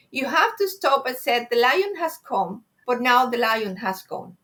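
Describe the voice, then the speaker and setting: A woman with a Spanish accent speaks at high pitch in a bright, sharp tone. She goes at a fairly slow pace. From Spain. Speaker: Silva Method graduate. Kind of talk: interview.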